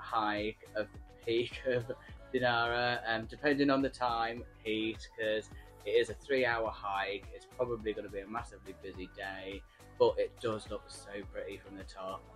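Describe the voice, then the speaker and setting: A man at a moderate pace, big swings in loudness, faint music in the background. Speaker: travel vlogger. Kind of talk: casual vlog chat. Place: home room. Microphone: phone near.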